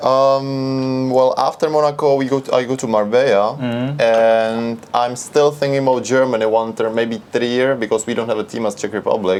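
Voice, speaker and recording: Medium-pitched male speech at a moderate pace, fairly even in intonation, with noticeable background noise. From Czech Republic. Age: 20s. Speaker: backgammon player. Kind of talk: interview answer.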